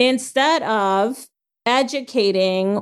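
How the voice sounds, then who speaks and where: The woman speaks at a fairly high pitch. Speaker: podcast host. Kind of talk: casual discussion podcast.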